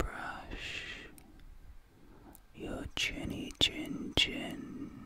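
Whispering is what a man does here. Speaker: ASMR creator. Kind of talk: soft ASMR roleplay talk. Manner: soft, close ASMR murmur. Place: home room. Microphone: studio mic.

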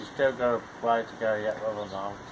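A man talks at a fairly quick pace with a fairly low pitch. His intonation is fairly even, and background noise is clearly audible.

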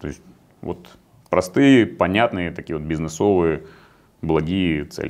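A man with a very deep, low pitch talks at a fairly slow pace, with long, frequent pauses. His pitch variation is ordinary, while his loudness swings widely. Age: 40s. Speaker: competitive angler; interview guest. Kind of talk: interview. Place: meeting room.

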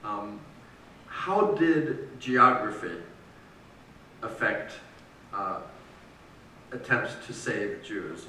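Over light background noise and audible room echo, a man speaks very slowly with long, frequent pauses and big swings in loudness. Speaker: editor and interviewer; interviewer. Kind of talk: interview at a public book talk. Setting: stage with audience. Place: church. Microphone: camera far.

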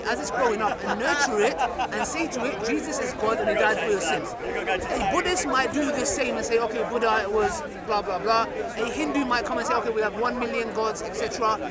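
A man talks at a moderate pace. The sound is dry with no echo, and crowd noise runs in the background. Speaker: street preacher. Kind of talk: public debate explanation. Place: open country.

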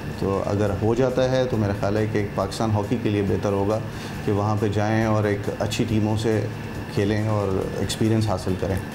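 Against clear background noise, a man speaks at a moderate pace with a fairly low pitch.

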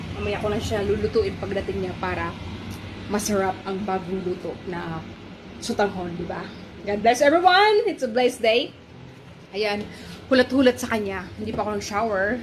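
Amid light background noise, a woman speaks at a moderate pace with long, frequent pauses. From Philippines. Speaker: cooking vlogger. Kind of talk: cooking tutorial vlog. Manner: casual, chatty. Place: kitchen. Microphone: phone near.

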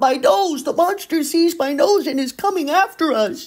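Here is a put-on character voice with a high pitch. The pace is moderate. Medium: read story. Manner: anxious, earnest.

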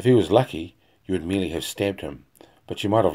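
Text is being read aloud in a natural-sounding voice.

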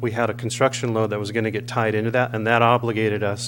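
Noticeable noise sits behind a man who speaks fairly quickly. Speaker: public commenter at council meeting. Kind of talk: public comment. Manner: fast.

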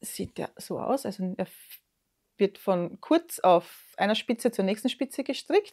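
In an Austrian accent, a woman speaks at a fairly slow pace with a fairly high pitch and ordinary pitch variation. The background is quiet. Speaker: knitting podcaster. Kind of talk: casual show-and-tell vlog; casual vlog chat. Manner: hesitant, many fillers. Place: home room.

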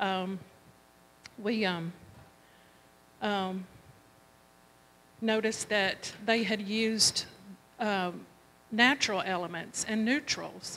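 A woman speaks very slowly at a medium pitch with a bright, sharp tone, ordinary pitch variation, and long, frequent pauses.

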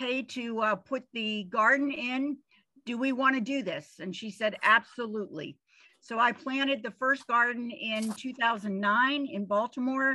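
A woman's high-pitched voice with ordinary pitch variation over a quiet background. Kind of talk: presentation talk. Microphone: video call.

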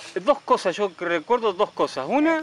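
Faint music plays in the background as a man speaks at a moderate pace in a dry sound with no echo. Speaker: interviewer. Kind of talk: casual interview questions. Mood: warm, friendly, hesitant. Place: garden.

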